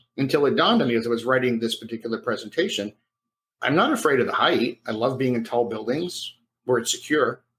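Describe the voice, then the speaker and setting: A man talks at a very fast pace in a medium pitch. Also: ordinary pitch variation. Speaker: professional speaker. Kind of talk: interview. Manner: stutter.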